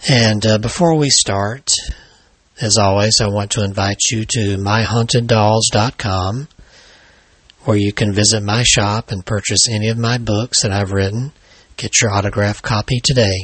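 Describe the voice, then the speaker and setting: With an American accent, the speaker talks at a moderate pace in a somewhat breathy voice with fairly even intonation. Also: man, fairly low pitch for a man. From Alabama, US South. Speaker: paranormal author and podcast host. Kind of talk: scripted true-crime horror narration, read aloud as a ghost story.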